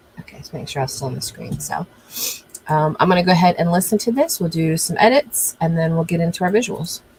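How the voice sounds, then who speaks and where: A woman's fairly low voice at a very fast pace, ordinary pitch variation, big swings in loudness, and noticeable background noise. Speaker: live streamer and video editor. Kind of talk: live tutorial. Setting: live stream. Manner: weird pauses when talking; casual.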